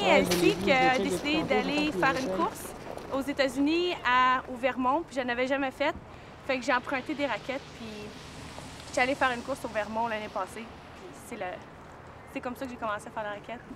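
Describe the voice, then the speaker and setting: A woman's high voice with lively intonation at a moderate pace, with long, frequent pauses, big swings in loudness and noticeable background noise. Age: 20s. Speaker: snowshoe racer. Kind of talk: interview.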